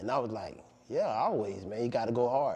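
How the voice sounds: A man talks at a fairly quick pace in a medium pitch. His tone is slightly mellow and his intonation lively.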